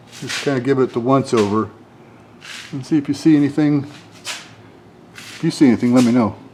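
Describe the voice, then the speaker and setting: With an American accent and a dark, mellow tone, a man speaks at a medium pitch and a fairly quick pace, with big swings in loudness and long, frequent pauses. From northwestern Pennsylvania. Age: 60s. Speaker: auto mechanic. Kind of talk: casual tutorial walkthrough. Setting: garage workshop. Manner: casual, halting with fillers.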